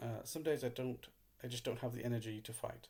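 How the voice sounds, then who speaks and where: A somewhat breathy male voice. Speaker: YouTube content creator. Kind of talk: personal monologue read from script. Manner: halting; reading from a script.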